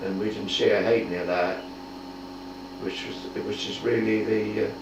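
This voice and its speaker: A man talks in a fairly low pitch with fairly even intonation. Noticeable background noise sits behind him. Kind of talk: oral history interview answer. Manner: slow, hesitant.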